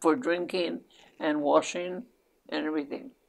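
A woman's fairly low pitch with vocal fry, lively intonation and a fairly slow pace. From New Mexico. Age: 80s+. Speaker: great-grandmother guest. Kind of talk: interview answer. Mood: reflective, reminiscing. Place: home room.

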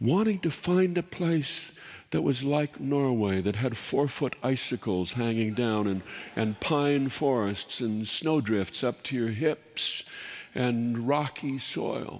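A very slow pace against a quiet background. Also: man. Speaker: storyteller host. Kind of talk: humorous storytelling monologue. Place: stage.

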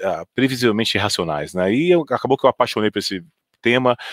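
The man's intonation is lively. The sound is dry with no echo, and the background is quiet. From Brazil, Goiânia; Brazil. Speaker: fund manager; panelist. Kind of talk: panel discussion. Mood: relaxed, anecdotal. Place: office. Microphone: headset.

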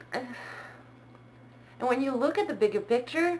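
A woman's high pitch with very wide pitch swings. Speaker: vlogger. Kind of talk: casual talk to camera. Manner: hesitant, many fillers. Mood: calm, thoughtful. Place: home room. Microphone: webcam.

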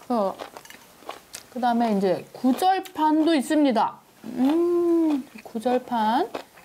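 A very slow pace with long, frequent pauses, lively intonation and a cheerful tone, over light background noise. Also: woman, high pitch for a woman. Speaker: food show host. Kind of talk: casual interview chat. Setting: on location at restaurant. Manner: cheerful, laughs often. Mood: cheerful, warm. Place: cafe. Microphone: lapel.

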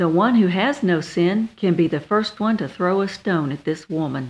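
Over a quiet background, a woman with a normal speaking voice talks at a moderate pace and a medium pitch, with lively intonation. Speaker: minister. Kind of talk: radio sermon.

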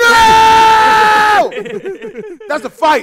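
A man at a very slow pace with ordinary pitch variation, music in the background. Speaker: reaction streamer. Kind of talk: reaction commentary. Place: home room. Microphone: headset.

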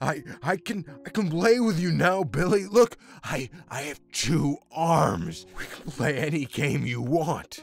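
A man puts on a character voice at a fairly high pitch. He speaks very slowly over faint background music. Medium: machinima. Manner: grandiose, then pleading and bitter.

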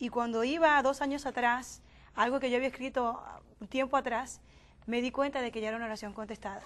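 A woman's high voice at a fairly quick pace with fairly even intonation. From Dominican Republic, Miches; Dominican Republic. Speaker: youth panelist; panelist. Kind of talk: panel discussion. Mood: calm, reflective. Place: studio. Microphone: lapel.

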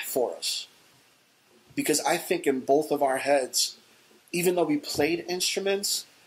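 A man speaks at a fairly slow pace in a New York accent. His voice sits fairly high, with ordinary pitch variation. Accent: New York City. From The Bronx, New York City; New York City. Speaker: hardcore band bassist; interviewee. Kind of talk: oral history interview answer. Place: office.

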